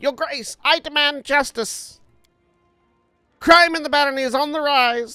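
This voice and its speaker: In a put-on character voice with long, frequent pauses, the speaker performs over faint music in the background. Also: moderate pace. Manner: demanding, indignant.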